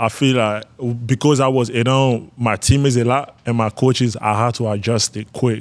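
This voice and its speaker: With a Malian accent, a man speaks at a moderate pace. His pitch is medium and his intonation fairly even. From northern Ivory Coast. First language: Bambara. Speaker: college basketball player. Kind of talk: interview.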